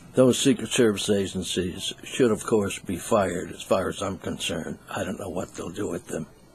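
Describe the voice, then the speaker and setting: Noticeable background noise sits behind a man speaking at a moderate pace with hardly any pauses. His pitch is fairly low, with ordinary variation. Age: 70s. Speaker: news commentator. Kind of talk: opinion commentary monologue.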